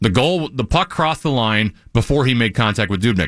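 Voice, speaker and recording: A man speaks at a fairly quick pace in an ordinary speaking voice, with lively intonation. The recording is very clean, with a silent background. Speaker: sports radio host. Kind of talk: casual chat about hockey.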